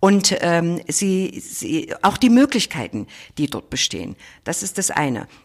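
Very wide swings in pitch and a creaky vocal fry from a female speaker. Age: 50s. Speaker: state parliament president, politician. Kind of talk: interview. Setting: office.

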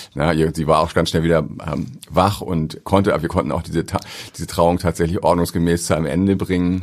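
This man talks at a fairly quick pace in a very deep, low voice. His intonation stays fairly even. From northern Germany, Ahrensburg near Hamburg. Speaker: airport pastor. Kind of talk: interview conversation. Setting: studio.

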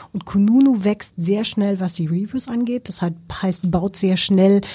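A woman's dark, mellow, somewhat breathy voice with ordinary pitch variation. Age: 50s. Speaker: company CEO. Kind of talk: interview.

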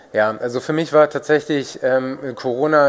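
A man speaks in a plain, everyday voice at a fairly slow pace with fairly even intonation. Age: 30s. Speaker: food startup executive. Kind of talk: interview.

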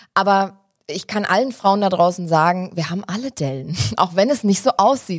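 Her voice animated, a woman speaks at a fairly quick clip with very wide swings in pitch. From Germany, Hesse (Wiesbaden). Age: 20s. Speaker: TV presenter. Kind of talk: casual interview chat.

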